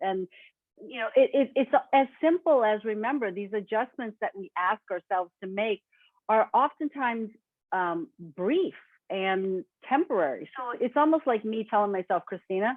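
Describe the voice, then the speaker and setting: A woman talks in an unremarkable speaking voice at a moderate pace. Her pitch is fairly high, with lively intonation. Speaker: webinar presenter. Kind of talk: webinar presentation.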